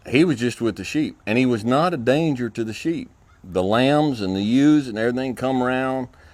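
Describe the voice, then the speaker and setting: With a rural Texas accent, a man talks at a medium pitch and ordinary pitch variation. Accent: Southern US (Texas) rural. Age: middle-aged. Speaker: ranching school instructor. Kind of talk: casual talk to camera. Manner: slow and easy; halting, many fillers and repeats.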